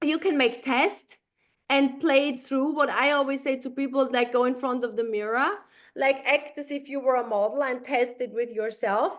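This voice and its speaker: A woman's high-pitched voice with a non-native accent, fairly even intonation and a moderate pace. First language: not English. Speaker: sales team trainer. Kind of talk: video call training session.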